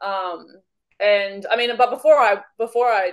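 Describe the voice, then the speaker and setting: This woman speaks with an Australian accent. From Australia, Victoria. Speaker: wildlife educator, business owner. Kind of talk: casual chat.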